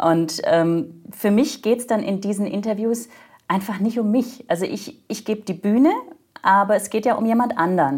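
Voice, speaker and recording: A woman's somewhat breathy voice moves at a moderate pace with ordinary pitch variation. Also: medium pitch for a woman. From Germany. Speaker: corporate podcast host in corporate communications. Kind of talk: interview conversation.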